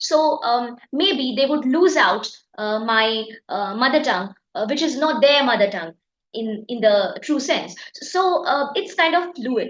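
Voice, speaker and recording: With audible room echo around her, a woman talks at a fairly slow pace in a high voice marked by very wide pitch swings. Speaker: exam prep teacher. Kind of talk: lecture. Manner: halting, many fillers.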